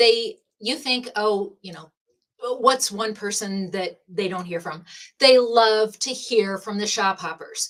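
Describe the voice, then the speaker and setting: An animated woman's voice, fairly high in pitch, with ordinary pitch variation. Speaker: shop hop event organizer. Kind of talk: live-streamed prize drawing explanation. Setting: live stream from a room with prize buckets. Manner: animated, talks with her hands.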